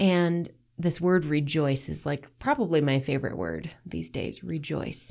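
Speaking fairly slowly, a woman with a very deep, low pitch and vocal fry has a warm, animated tone and ordinary pitch variation. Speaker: faith podcast host. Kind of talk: casual devotional monologue. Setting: solo podcast recording.

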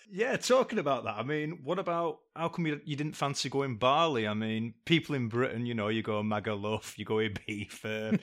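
Speaking with a northern English accent, a man at medium pitch keeps a moderate pace and lively intonation with hardly any pauses. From northern England. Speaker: guest interviewer and friend. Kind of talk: casual chat.

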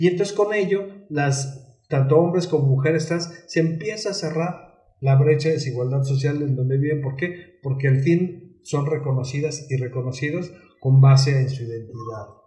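In a room with audible echo, a man speaks in a somewhat breathy, dark, mellow tone at a fairly high pitch with ordinary pitch variation. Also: moderate pace. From Mexico, San Luis Potosí. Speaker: psychologist and LGBT rights activist. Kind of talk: interview, casual chat.

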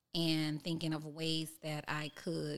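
A woman's very deep, low-pitched voice. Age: 40s. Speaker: chef and cookbook author. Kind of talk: casual interview.

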